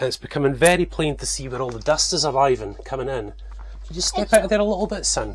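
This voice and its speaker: A man at a very fast pace, with big swings in loudness and noticeable background noise. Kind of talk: casual vlog chat. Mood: cheerful, playful with child. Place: home room. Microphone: phone near.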